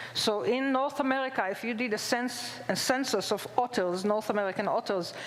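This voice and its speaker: With an Israeli accent, a woman speaks fairly quickly at a high pitch with ordinary pitch variation, her voice carrying audible room echo and noticeable background noise. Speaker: zoology professor. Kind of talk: public lecture. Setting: stage with audience.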